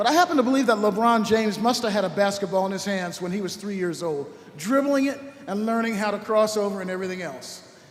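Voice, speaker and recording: Very fast pace with audible room echo and noticeable background noise. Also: man, high pitch for a man, ordinary pitch variation. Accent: American. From Los Angeles, US West Coast. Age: 70s. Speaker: orchestra conductor. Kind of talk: speech to a concert audience. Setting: church, stage with audience. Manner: conversational, lively.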